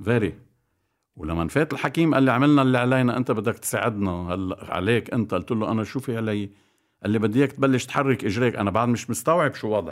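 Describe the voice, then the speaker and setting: On a very clean recording with a silent background, a man talks at a medium pitch. His pace is fairly quick. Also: ordinary pitch variation. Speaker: basketball coach. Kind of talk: casual chat. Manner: animated.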